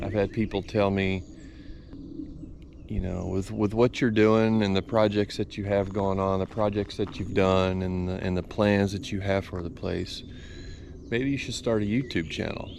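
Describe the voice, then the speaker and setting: A man with a Texan accent and fairly even intonation. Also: fairly low pitch for a man, fairly slow pace. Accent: Texan Southern US. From Texas. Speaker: business owner and outdoors channel host. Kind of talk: casual vlog talk to camera. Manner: hesitant with many fillers.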